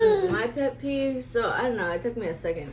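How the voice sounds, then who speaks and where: A woman amid noticeable background noise. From US West Coast, raised from age 5 (born in Russia). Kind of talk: casual chat. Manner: sometimes loud, sometimes mumbling.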